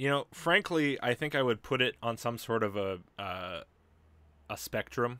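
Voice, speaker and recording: The voice is bright and sharp, with lively intonation at a fairly slow pace. The very clean recording sounds dry and close with no echo and a silent background. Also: man, medium pitch for a man. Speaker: livestream host. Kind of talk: casual chat. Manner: sounds sarcastic.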